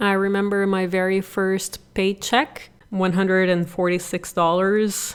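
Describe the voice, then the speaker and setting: A woman speaks with a Portuguese accent. Her pitch is medium and her pace moderate. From Brazil. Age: 30s. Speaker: podcast host, real estate investor. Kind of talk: personal story monologue.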